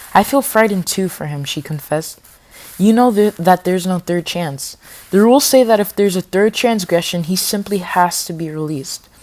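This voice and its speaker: A woman at a fairly quick pace, with big swings in loudness and noticeable background noise. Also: medium pitch for a woman, ordinary pitch variation. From Spanish-speaking home. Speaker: audiobook reader, youtuber. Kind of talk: reading aloud. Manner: halting, stumbles over words; fast when talking freely.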